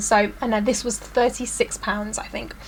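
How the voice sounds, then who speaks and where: A woman speaks with a British accent at a fairly quick pace, her pitch fairly high. Noticeable background noise runs under the recording. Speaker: beauty vlogger. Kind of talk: product review vlog. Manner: fast.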